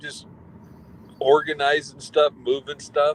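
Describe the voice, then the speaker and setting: In a normal speaking voice, a man talks at a moderate pace and fairly high pitch with ordinary pitch variation. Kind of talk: casual conversation with co-host.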